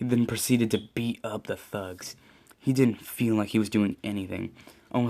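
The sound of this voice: An unforced reading voice is heard. Its intonation is fairly even.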